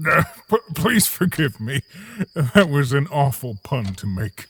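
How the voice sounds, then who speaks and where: Putting on a cartoonish character voice, a man speaks at a fairly high pitch and a fairly slow pace. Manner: soft-spoken, reflective.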